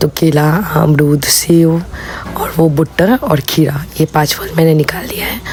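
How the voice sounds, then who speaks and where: Over noticeable background noise, a woman with a very deep, low pitch speaks at a fairly slow pace with fairly even intonation. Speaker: vlogger. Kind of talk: vlog voice-over. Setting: voice-over recorded at home. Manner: casual, chatty.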